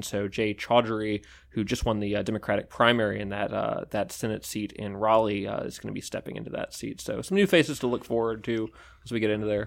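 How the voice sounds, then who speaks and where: A man's plain, everyday voice, fairly low in pitch, at a fairly quick pace with fairly even intonation. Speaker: political reporter. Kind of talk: casual newsroom discussion.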